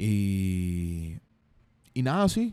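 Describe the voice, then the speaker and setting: A man speaks with a Venezuelan accent in a dark, mellow tone. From Venezuela, Carabobo. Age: 20s. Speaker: rapper and songwriter. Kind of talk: casual interview. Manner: relaxed, chill.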